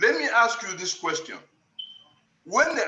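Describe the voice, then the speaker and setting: A man's raised, projected voice. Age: 70s. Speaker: panel participant, writer. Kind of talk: panel discussion. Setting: video call.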